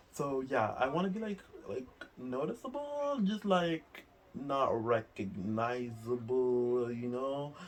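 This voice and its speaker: Medium-pitched male speech in a non-native accent, with lively intonation and noticeable background noise. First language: not English. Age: 20s. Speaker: vlogger. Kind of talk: casual chat. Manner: fast, filler-heavy talk.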